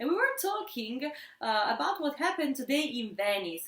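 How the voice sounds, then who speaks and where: A woman speaks in an Italian accent. Her pitch swings very widely. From Italy. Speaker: sociology instructor. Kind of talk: casual academic discussion. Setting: at home.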